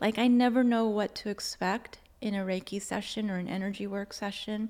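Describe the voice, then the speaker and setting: A soft-spoken woman is talking. Her pace is fairly slow. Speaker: Reiki practitioner and Akashic Records channel. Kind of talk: casual interview chat.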